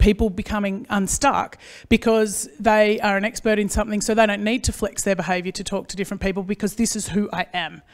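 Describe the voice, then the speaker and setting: Someone with an Australian accent speaks at a fairly quick pace in a very clean recording with a silent background. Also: woman. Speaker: agricultural consultant and speaker. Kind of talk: conference presentation. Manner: fast; animated.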